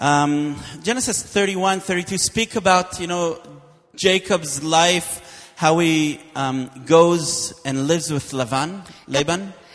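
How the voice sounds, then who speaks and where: Noticeable background noise sits behind a man speaking very slowly at a high pitch. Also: ordinary pitch variation. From Israel. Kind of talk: sermon with interpreter.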